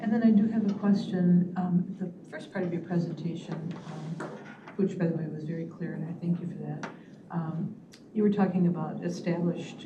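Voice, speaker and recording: With audible room echo and noticeable background noise, a woman speaks at a moderate pace and a fairly low pitch. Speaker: board member. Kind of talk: public meeting questions. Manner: halting.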